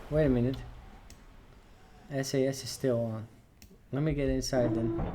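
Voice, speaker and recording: There is audible room echo as a man speaks in a monotone, flat voice. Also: medium pitch for a man, moderate pace. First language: not English. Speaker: gaming let's player. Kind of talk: gameplay commentary. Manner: casual, hesitant.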